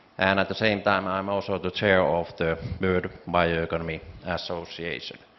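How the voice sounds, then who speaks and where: Monotone, flat delivery at a moderate pace in a Finnish accent. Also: man. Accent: Finnish accent, noticeable. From Finland. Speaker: founder and CEO of a bioeconomy organization, panelist. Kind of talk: conference panel presentation. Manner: hesitant with fillers.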